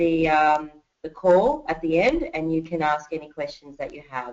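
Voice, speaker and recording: This woman speaks at a moderate pace with an Australian accent. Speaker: network marketing presenter. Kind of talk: webinar training presentation. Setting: online webinar call.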